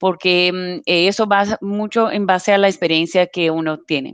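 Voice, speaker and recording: A woman at medium pitch is heard in a dry, close sound with no echo against a quiet background. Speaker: operations analyst. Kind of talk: live webinar Q&A. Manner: halting, many fillers.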